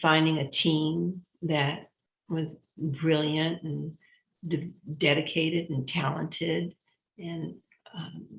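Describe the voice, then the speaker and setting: A woman speaks very slowly in a very deep, low, somewhat breathy voice. Her delivery is monotone and flat, with long, frequent pauses. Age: 70s. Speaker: foundation president, former party member. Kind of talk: interview conversation. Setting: live stream.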